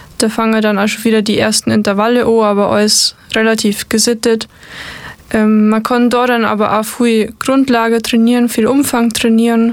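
A woman speaks at a moderate pace with a fairly high pitch, monotone, flat intonation and very even loudness. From Bavaria, Upper Bavaria. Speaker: mountain bike marathon racer. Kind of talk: casual interview.

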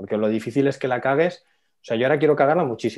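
Speaking in a plain, everyday voice, a man stays at a medium pitch with ordinary pitch variation. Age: 30s. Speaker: finance educator and entrepreneur. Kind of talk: casual interview.

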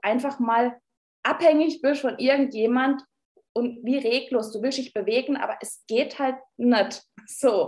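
Speaking at a fairly slow pace, a woman with a Baden accent uses a high pitch and fairly even intonation. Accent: Baden dialect (Ortenau). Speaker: nursing leadership trainer and speaker. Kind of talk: podcast interview.

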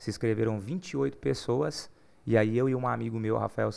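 The man's voice comes through on a very clean recording, the background completely silent. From Goiás, Brazil (Uruaçu). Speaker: gospel singer. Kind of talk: casual chat.

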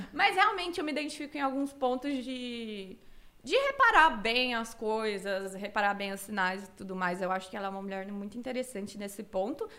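Bright and sharp in tone, a woman speaks at a fairly high pitch and a moderate pace with lively intonation. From Cuiabá, Mato Grosso, Brazil. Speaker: streamer. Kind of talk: casual interview.

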